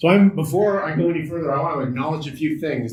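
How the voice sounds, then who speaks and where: In a Canadian accent, a man talks at a fairly high pitch with ordinary pitch variation, his voice somewhat breathy amid audible room echo. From Canada, Ottawa. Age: 40s. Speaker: accessibility consultant. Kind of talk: workshop presentation.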